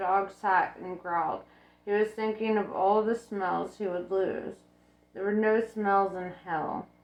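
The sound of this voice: In an unforced reading voice, the intonation stays fairly even.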